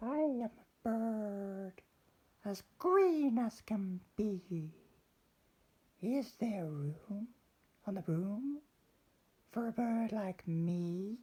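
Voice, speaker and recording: Putting on a character voice, a man speaks at a high pitch and a very slow pace, with long, frequent pauses. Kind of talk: children's story reading.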